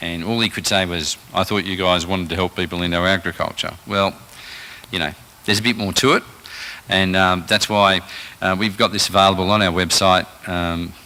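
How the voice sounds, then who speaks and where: A man's very deep, low voice in an Australian accent, fairly quick yet with long, frequent pauses, monotone and flat, over noticeable background noise. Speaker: rural finance presenter. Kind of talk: presentation to a live audience. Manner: halting, many fillers.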